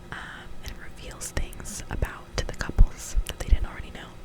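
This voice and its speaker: A woman whispers over noticeable background noise. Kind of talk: ASMR whisper ramble to camera. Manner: whispered, soft-spoken, slow.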